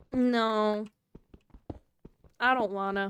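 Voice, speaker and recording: The sound is dry and close with no echo, carrying a voice with a Southern US accent. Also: woman. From US South. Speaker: streamer. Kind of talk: casual live stream chat. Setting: live stream.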